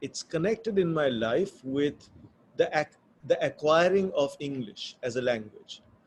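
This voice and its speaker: With a Bengali accent, a man with a fairly high pitch speaks fairly slowly in a somewhat breathy voice, his intonation lively. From India, Bombay. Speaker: author. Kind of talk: interview conversation. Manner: thoughtful, hesitant with fillers.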